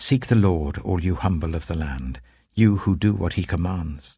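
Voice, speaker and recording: Over a quiet background, a man with vocal fry and a very deep, low pitch speaks at a fairly slow pace with very wide pitch swings. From British. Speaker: actor. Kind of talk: Bible reading. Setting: studio.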